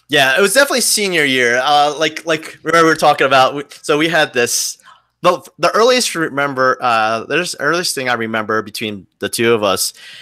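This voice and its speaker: With a New Jersey accent and a bright, sharp tone, a man speaks fairly quickly at a fairly high pitch with lively intonation. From New Jersey (Wayne). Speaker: podcast co-host. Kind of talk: casual chat.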